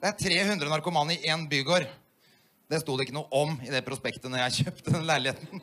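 His speech moves at a fairly quick pace. This man has a fairly high pitch that varies in an ordinary way. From Oslo, Norway. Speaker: stand-up comedian. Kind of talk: stand-up comedy routine. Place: stage. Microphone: handheld.

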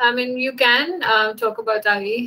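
Her tone is bright and sharp. The woman's intonation stays fairly even.

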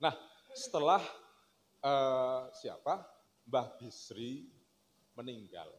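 A man's very slow delivery with ordinary pitch variation and long, frequent pauses. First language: Javanese (speaking Indonesian). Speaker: speaker. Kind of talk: religious lecture and kitab reading. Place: stage. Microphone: handheld.

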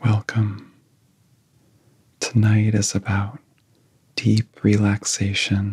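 Somewhat breathy and very slow, a man speaks at a fairly low pitch in a monotone, flat intonation. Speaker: meditation guide. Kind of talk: guided sleep hypnosis. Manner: soft-spoken. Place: home room.

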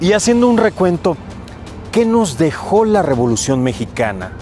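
Over clear music in the background, a man speaks at a fairly slow pace with very wide pitch swings, in a dry sound with no echo. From Tabasco, Mexico. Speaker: TV news anchor and host. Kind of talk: TV documentary special introduction. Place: street. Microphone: lapel.

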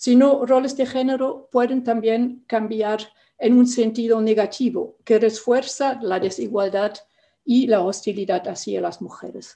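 A woman speaks at a fairly slow pace, her pitch high. Her intonation stays fairly even over a quiet background. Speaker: panelist. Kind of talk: prepared talk in a virtual debate. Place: home room. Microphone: webcam.

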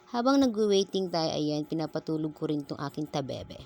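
This woman speaks with a very deep, low pitch. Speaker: vlogger and mother. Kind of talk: casual vlog voice-over.

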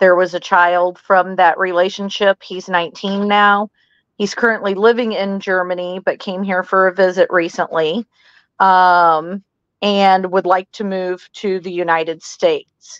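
A woman talks at a fairly slow pace in a flat monotone, the sound dry with no echo against a quiet background. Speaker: caller. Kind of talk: interview answer. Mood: slightly nervous first-time caller. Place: home room. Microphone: video call.

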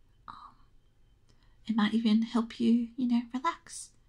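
Soft-spoken whispering comes through over a quiet background. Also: woman. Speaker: ASMR creator. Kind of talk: ASMR intro. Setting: birds chirping in background. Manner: whispered. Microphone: studio mic.

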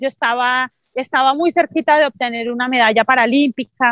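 Against a quiet background, a woman with a high pitch talks at a moderate pace in a bright, sharp tone, her intonation fairly even and the sound dry with no echo. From Colombia, Santander. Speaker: Paralympic athlete; interview guest. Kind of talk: interview testimony. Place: open country. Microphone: video call.

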